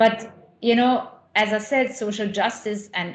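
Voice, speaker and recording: A woman talks at a fairly slow pace in a somewhat breathy voice with ordinary pitch variation, and audible room echo surrounds her. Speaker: associate professor in higher education. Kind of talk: conference talk. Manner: halting, many fillers and repetitions.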